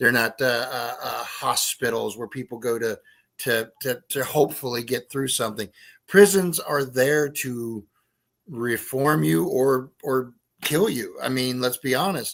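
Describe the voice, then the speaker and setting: A man with a normal speaking voice talks at a fairly slow pace. His pitch is medium with ordinary pitch variation, on a very clean recording with a silent background. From West Virginia. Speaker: writer and paranormal investigator. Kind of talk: casual chat.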